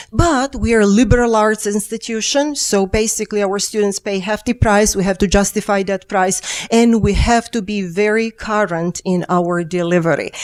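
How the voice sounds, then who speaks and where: A woman with a Serbian accent and a medium pitch speaks at a moderate pace with ordinary pitch variation. She hardly pauses at all. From Serbia, Belgrade. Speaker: engineering professor. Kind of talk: keynote lecture. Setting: conference stage with audience. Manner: halting, with fillers.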